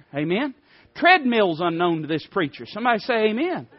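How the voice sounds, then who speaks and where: This voice has an Appalachian accent and a fairly quick pace. The pitch swings very widely. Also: man. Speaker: preacher. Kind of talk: sermon. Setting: church.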